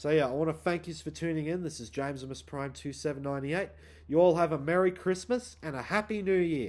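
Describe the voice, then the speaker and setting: A man with an Australian accent, fairly high pitch, and a fairly quick pace. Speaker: YouTuber. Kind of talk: casual vlog monologue.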